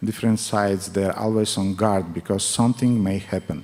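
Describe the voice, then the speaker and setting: A man's fairly low voice with a strong non-native accent, fairly even intonation, and a moderate pace. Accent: thick foreign. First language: not English. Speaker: spiritual teacher. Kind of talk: religious class with consecutive interpretation. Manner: halting.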